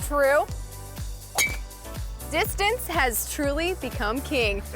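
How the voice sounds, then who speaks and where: There is music in the background. A woman talks at a very slow pace. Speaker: sports reporter and host. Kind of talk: studio sports news presenting. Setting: studio.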